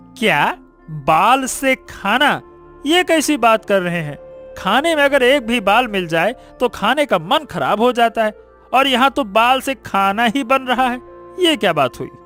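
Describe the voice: Faint music plays in the background as a man in a cartoonish character voice speaks at an extremely high pitch with a fairly bright tone, lively intonation and a fairly slow pace.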